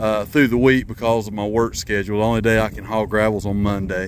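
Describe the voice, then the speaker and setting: A man is talking over light background noise. The sound is dry, with no echo. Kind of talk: casual vlog chat. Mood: relaxed, pleased. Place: open country. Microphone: phone near.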